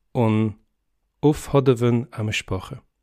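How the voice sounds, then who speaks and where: A soft-spoken man's medium-pitched voice with a dark, mellow tone and ordinary pitch variation, on a very clean recording with a silent background. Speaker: polyglot. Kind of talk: reading of a formal legal text in many languages.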